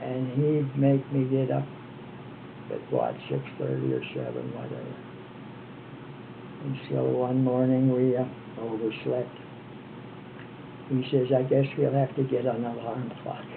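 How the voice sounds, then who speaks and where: A man with an American accent at a fairly slow pace with long, frequent pauses, amid noticeable background noise and audible room echo. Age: 80s+. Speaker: retired former missionary. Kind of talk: oral history interview.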